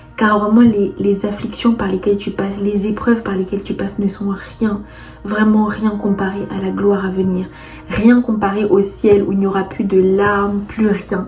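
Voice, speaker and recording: Over music in the background, a woman speaks in a monotone, flat intonation. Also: medium pitch for a woman, moderate pace. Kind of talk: faith testimony and exhortation. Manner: hesitant, repeating words.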